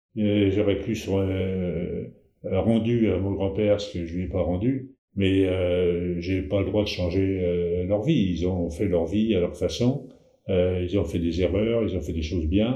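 A man speaks very slowly in a very deep, low voice that is somewhat breathy. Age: 70s. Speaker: family storyteller. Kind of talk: casual chat. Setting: shared microphone with relative. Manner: halting. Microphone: shared mic, sound slightly worse than usual.

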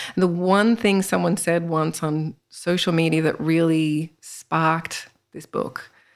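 On a very clean recording with a silent background, a woman with an Australian accent speaks at a fairly low pitch. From Australia, northern Sydney. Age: 40s. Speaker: spiritual author and healer. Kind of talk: interview.

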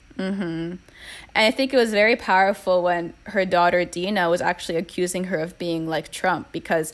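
A woman talks at a fairly quick pace with fairly even intonation. It is an ordinary speaking voice, medium in pitch. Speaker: guest co-discussant. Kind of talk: casual chat.

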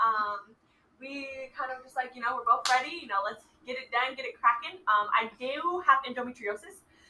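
Raising and projecting her high voice, a woman with a bright, sharp tone talks at a moderate pace, her loudness swinging widely while her pitch varies in an ordinary way. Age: 20s. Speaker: expectant mother. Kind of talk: casual chat.

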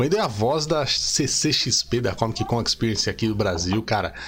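With lively intonation, a man speaks at a medium pitch in a somewhat breathy voice. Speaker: podcast host. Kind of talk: casual chat. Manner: animated.

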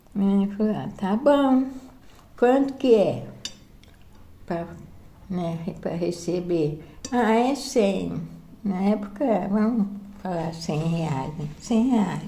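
Over audible room echo, a woman speaks at a very slow pace with lively intonation and long, frequent pauses. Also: medium pitch for a woman. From interior of São Paulo state, Brazil (Sertãozinho, near Ribeirão Preto). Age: 70s. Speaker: grandmother sharing life memories. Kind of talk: casual family chat. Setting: informal home recording.

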